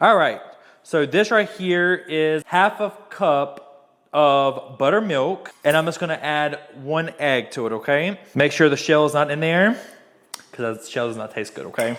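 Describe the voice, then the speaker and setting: An upbeat tone comes through at a fairly slow pace in a Southern US accent. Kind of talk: casual cooking tutorial talk to camera. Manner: casual, chatty, upbeat.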